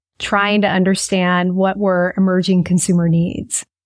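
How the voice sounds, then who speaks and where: Woman with an American accent, medium-pitched and fairly slow, in a dry, close sound with no echo. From US Midwest (Kansas). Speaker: business consultant and author. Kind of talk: interview.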